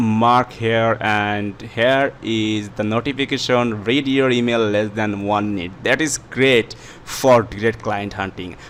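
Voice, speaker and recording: Very slowly, a man talks with a non-native accent. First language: not English. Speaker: YouTube tutorial creator. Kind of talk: tutorial. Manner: halting, many fillers.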